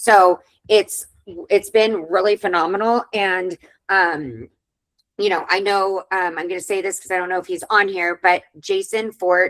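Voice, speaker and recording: A woman of medium pitch uses a normal speaking voice. She talks at a fairly slow pace with fairly even intonation. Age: 40s. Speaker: webinar host, virtual assistant agency owner. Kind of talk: webinar discussion.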